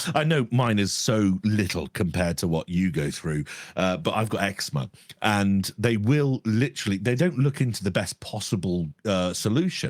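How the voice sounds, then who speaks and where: This man has an English accent and a fairly low pitch. His delivery is moderate in pace, lively in intonation, and very even in loudness. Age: 30s. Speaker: podcast co-host. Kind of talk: casual chat.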